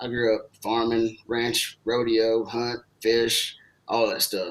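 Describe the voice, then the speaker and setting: Here a man talks with a slight Texan accent. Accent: Texas accent, slight. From Southeast Texas, small town north of Houston. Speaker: tech sales professional. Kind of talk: casual interview chat.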